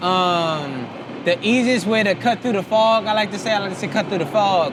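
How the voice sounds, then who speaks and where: Over noticeable background noise, a man with an American accent speaks at a moderate pace in a high pitch, with ordinary pitch variation. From Charleston, South Carolina. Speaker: visual artist. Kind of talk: casual interview chat. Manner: casual, hesitant with fillers.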